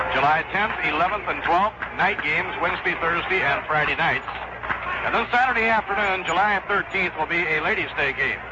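Over noticeable background noise, a man talks at a fairly quick pace with a high pitch, ordinary pitch variation and very even loudness. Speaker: radio baseball play-by-play announcer. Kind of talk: live radio baseball play-by-play, calling pitches and plays between scores and stats. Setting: radio broadcast booth at the ballpark. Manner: courteous, old-school broadcast politeness.

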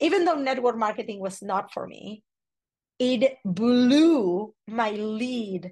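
Fairly high in pitch, a woman speaks in an animated, energetic tone with lively intonation against a quiet background. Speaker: personal branding coach. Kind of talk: casual interview chat.

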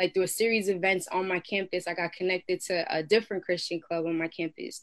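Her voice is a plain, everyday voice, and this woman talks at a fairly quick pace with medium pitch and fairly even intonation. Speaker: rapper and prayer ministry leader. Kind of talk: testimony. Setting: video call.

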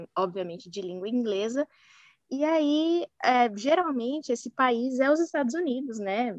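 In a dry, close recording with no echo, a woman speaks fairly slowly in a high voice with lively intonation. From São Paulo, Brazil. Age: 20s. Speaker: marketing professional, former exchange student. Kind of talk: casual interview.

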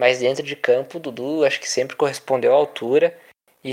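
This man's voice sits at a fairly high pitch. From São Paulo interior, Brazil (Indaiatuba). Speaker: physical education student, football commentator. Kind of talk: casual football discussion podcast.

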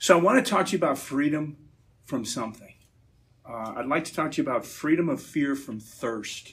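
A man with a plain, everyday voice, fairly high in pitch, at a fairly quick pace, with lively intonation and big swings in loudness. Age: 50s. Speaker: Navy veteran and energy businessman giving a church talk. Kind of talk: talk at a church gathering.

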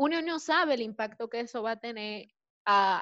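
Here a woman has an ordinary speaking voice at a fairly high pitch. She talks at a moderate pace with lively intonation. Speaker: recent marketing graduate. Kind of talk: panel discussion.

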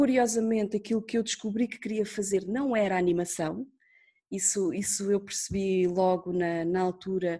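A dark, mellow tone at a moderate pace, with ordinary pitch variation against a quiet background. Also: woman, medium pitch for a woman. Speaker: radio producer. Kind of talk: interview. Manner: talkative.

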